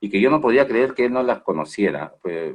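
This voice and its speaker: A man is speaking. His pace is fairly quick. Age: 60s. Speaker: management consultant. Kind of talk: webinar Q&A answer. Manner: halting, many fillers and repetitions.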